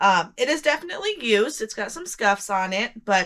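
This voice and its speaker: The voice is loud. Its tone is bright and sharp. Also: woman. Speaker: online reseller. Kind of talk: casual sales recap vlog. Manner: casual, frequent ums.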